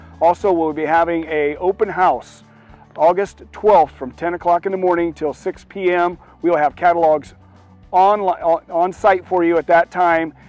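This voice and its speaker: With faint music in the background, a man speaks high in a flat monotone at a moderate pace, the sound dry with no echo. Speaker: auctioneer. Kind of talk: auction announcement to camera. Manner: casual, hesitant. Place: garden. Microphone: lapel.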